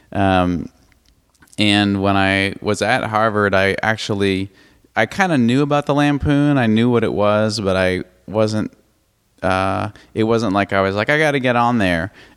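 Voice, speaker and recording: With an American accent, a man speaks at a fairly slow pace with fairly low pitch and very even loudness. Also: ordinary pitch variation, very clean recording, silent background. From Brookline, Massachusetts (Boston suburb). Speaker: TV comedy writer. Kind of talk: casual interview chat. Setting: host's apartment. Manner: halting, many fillers.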